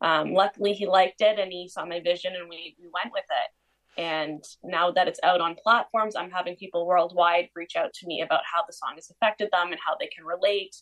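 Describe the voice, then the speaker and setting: In a Canadian accent, a woman with a medium pitch uses an ordinary speaking voice, talking at a fairly quick pace with hardly any pauses and fairly even intonation. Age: young. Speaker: country-pop singer. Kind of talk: casual interview.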